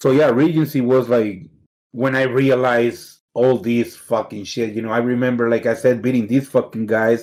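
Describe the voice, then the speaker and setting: A man's medium-pitched voice in a Mexican accent, with fairly even intonation at a moderate pace. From Mexicali, Mexico; moved to Pico Rivera, California at 13. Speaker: fighting game player. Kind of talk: casual interview chat.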